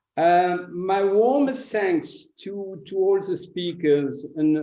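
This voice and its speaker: A man speaks with a French accent and ordinary pitch variation. His tone is dark and mellow. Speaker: foreign ministry analyst giving closing remarks. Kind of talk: conference closing remarks. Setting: conference forum. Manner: hesitant, many fillers and repetitions.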